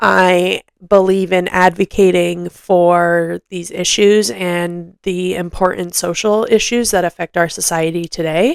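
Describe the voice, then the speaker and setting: Speaking at a fairly slow pace with hardly any pauses, a woman with a fairly low pitch keeps her intonation fairly even, recorded very cleanly against a silent background with a dry, close sound and no echo. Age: 20s. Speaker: podcast host, mental health advocate. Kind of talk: casual monologue.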